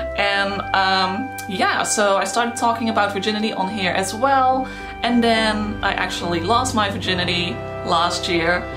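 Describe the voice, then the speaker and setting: Over clear background music, the voice moves at a fairly slow pace with ordinary pitch variation. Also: woman. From Netherlands. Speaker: YouTuber. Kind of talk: casual talk to camera. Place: home room.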